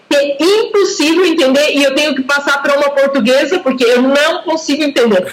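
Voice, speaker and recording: A woman speaks with high pitch and ordinary pitch variation. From Brazil, São Paulo state. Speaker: language teacher. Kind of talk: casual conversation practice.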